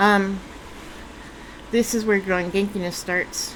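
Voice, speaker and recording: Over noticeable background noise, a woman speaks at a medium pitch in a flat monotone. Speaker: vlogger. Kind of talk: casual vlog monologue. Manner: halting, many fillers and restarts.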